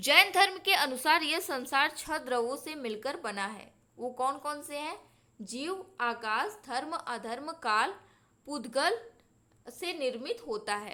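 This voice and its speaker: A woman speaks in a raised, projected voice with a high pitch and very wide pitch swings. Her tone is bright and sharp, and her loudness swings widely. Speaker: exam-prep teacher. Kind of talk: lecture. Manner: slow.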